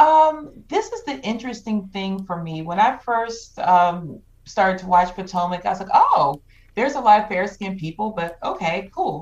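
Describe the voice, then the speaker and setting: A woman with an unremarkable speaking voice, medium in pitch, lively in intonation, at a moderate pace. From Georgia, US South. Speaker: podcast guest, Clubhouse moderator. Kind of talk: casual chat.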